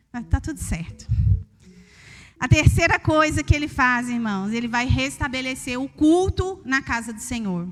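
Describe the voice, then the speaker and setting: In a Minas Gerais accent, a woman speaks at a high pitch and a fairly slow pace. Her delivery is sing-song, with lively intonation and big swings in loudness. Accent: Minas Gerais Brazilian Portuguese. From Brazil, Minas Gerais. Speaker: preacher. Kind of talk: sermon. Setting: church. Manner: sing-song intonation.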